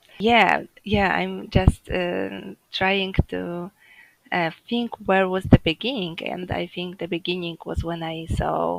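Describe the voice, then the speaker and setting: In a Polish accent, a woman speaks at a very slow pace. Her loudness swings widely. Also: dry, close sound with no echo. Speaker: home birth mother sharing her story. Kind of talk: interview. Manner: halting, many fillers.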